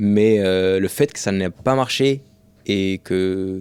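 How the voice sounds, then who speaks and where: On a very clean recording with a silent background, a man talks in a fairly low pitch with fairly even intonation. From France, Rouen. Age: 20s. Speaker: professional runner and content creator. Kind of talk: casual podcast interview.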